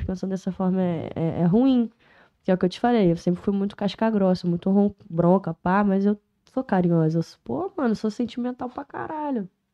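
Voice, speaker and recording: A woman has a normal speaking voice at a medium pitch. She talks at a moderate pace with ordinary pitch variation. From Niterói / São Gonçalo, Rio de Janeiro state, Brazil. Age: 20s. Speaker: rapper. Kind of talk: casual chat.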